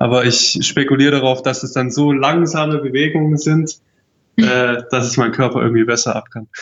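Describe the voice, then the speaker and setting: A medium-pitched male voice, moderately paced, its intonation fairly even. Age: 20s. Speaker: traveller. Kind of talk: casual interview.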